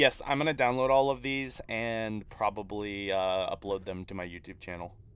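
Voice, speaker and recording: Loudness swings widely as this man talks at a moderate pace. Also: fairly low pitch for a man, ordinary pitch variation. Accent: Midwestern. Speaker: tabletop game master and streamer. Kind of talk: live role-play game narration.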